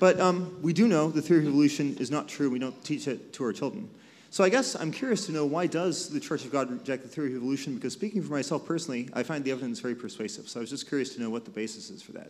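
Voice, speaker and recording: With lively intonation and big swings in loudness, a man talks at a very fast pace and fairly high pitch, hardly pausing at all. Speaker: audience member asking a question, chemist. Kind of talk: audience question at live panel. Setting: live event with audience. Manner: clear.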